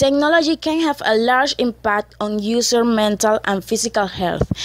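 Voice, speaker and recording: Speaking with a non-native accent, a woman talks at a fairly slow pace and a fairly high pitch. The sound is dry and close, without echo. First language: not English. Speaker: EFL student. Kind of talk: scripted class presentation reading.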